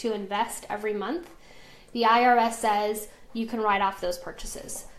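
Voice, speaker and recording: A woman with an American accent speaks in a normal speaking voice, fairly high-pitched, at a moderate pace with fairly even intonation. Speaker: essential oils business team leader. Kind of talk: live stream tutorial. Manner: casual, chatty.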